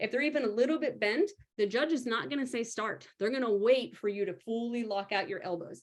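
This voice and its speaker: A woman's fairly high-pitched, animated voice with lively intonation and a fairly quick pace. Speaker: powerlifting coach. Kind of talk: live stream tutorial. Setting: live video stream with screen share. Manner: fast.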